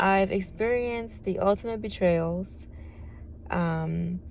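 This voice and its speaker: A woman is speaking. Her pace is very slow. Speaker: testimony vlogger. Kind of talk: reading aloud; testimony. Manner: monotone.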